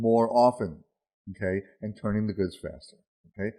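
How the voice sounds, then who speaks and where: A man talking at a fairly quick pace. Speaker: retail consultant presenter. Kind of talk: webinar presentation. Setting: webinar. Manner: fast; animated.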